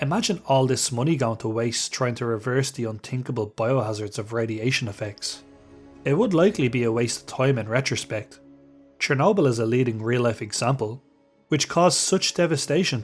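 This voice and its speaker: Over music in the background, a man speaks at a fairly quick pace in a medium pitch. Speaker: gaming video host. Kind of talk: video essay narration.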